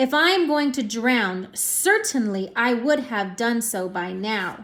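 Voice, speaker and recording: A woman puts on a character voice, fairly high in pitch and fairly slow, in a very clean recording with a silent background. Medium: read story.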